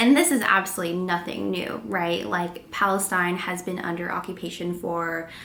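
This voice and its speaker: Over noticeable background noise, a woman with a fairly low pitch talks at a moderate pace with hardly any pauses and ordinary pitch variation. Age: 20s. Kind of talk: casual vlog talk to camera.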